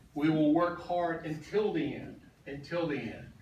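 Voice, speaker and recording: A man with an American accent speaks fairly slowly in a fairly high voice with ordinary pitch variation. Room echo and noticeable background noise are audible. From US Midwest, then Georgia from age nine. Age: 60s. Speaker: political candidate. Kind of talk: campaign speech.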